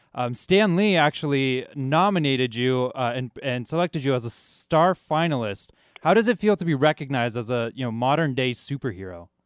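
Fairly quick speech from a man at medium pitch, with lively intonation and an ordinary speaking voice. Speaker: radio host. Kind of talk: casual chat. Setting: studio.

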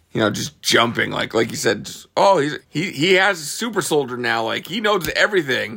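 This man's voice has a bright, sharp tone and vocal fry, swinging very widely in pitch at a moderate pace. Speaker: musician. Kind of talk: casual chat.

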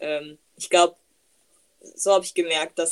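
Her pitch is medium, her intonation fairly even, and her pace moderate. The woman has an unremarkable speaking voice. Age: 20s. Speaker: podcast host. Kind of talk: casual chat. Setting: video call.

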